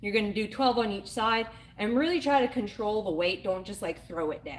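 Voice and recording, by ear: A woman speaks at a fairly quick pace. Her pitch is medium.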